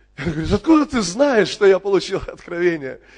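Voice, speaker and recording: Noticeable background noise sits behind a man speaking at a moderate pace. His tone is animated and his intonation lively. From Crimea (Kerch). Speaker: pastor. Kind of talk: sermon.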